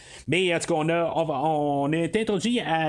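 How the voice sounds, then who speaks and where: This man talks at a fairly slow pace in a Quebec accent. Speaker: podcast host. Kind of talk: solo film review podcast. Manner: halting, many fillers.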